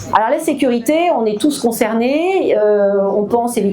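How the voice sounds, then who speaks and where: A woman speaks at a fairly slow pace with ordinary pitch variation, her voice carrying audible room echo over noticeable background noise. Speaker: local politician. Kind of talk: public meeting speech. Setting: public meeting hall with audience. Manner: hesitant, many fillers.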